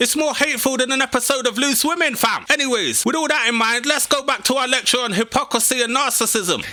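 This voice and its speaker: Raised and projected, a man's extremely high voice races at a very fast pace with hardly any pauses, very even loudness and fairly even intonation. Noticeable background noise is present. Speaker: YouTube commentator. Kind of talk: satirical commentary to camera. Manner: sarcastic, mocking.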